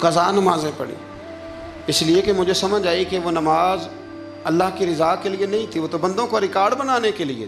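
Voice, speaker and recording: A man speaks at a high pitch with ordinary pitch variation. Music plays in the background. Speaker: Islamic preacher. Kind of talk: religious sermon. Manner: clear diction, good delivery.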